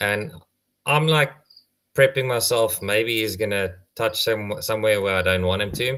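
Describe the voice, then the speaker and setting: A man speaks with an Afrikaans accent and ordinary pitch variation. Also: very clean recording, silent background. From South Africa. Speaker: tortoise conservationist. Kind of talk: casual chat, anecdote. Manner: halting, many fillers.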